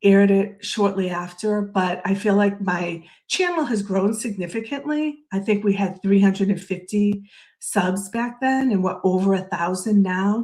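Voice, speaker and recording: A woman's somewhat breathy voice at a medium pitch, fairly slow in pace, with ordinary pitch variation. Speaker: streamer reviewing her own podcast interview. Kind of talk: live stream commentary. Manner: casual, chatty.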